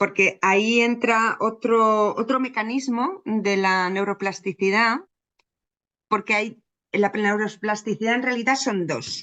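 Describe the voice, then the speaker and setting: Against a quiet background, a woman with a fairly high pitch and a bright, sharp tone talks very slowly, her intonation fairly even. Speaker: psychologist. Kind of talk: interview.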